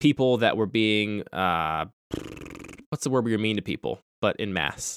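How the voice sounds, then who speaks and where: A man with an American accent has a plain, everyday voice at medium pitch, speaking at a moderate pace with lively intonation in a very clean recording with a silent background and a dry, close sound with no echo. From US Mid-Atlantic (Pennsylvania). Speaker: podcast host. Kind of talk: casual chat.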